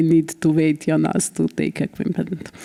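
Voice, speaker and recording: With a Bosnian accent, a woman talks at a fairly low pitch. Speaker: politician. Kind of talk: conference speech. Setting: conference with live interpretation.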